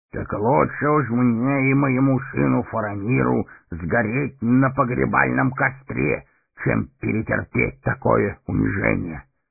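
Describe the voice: In a put-on character voice, a man speaks at a fairly slow pace with medium pitch, ordinary pitch variation, vocal fry and a slightly husky edge.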